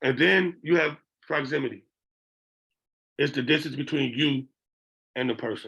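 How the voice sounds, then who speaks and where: A man's voice with vocal fry, ordinary pitch variation and a moderate pace. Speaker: behavioral interventionist. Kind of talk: lecture. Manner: conversational, frequent 'okay?' check-ins.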